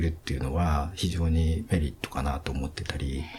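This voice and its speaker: A man at a fairly quick pace. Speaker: event company CEO. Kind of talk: interview.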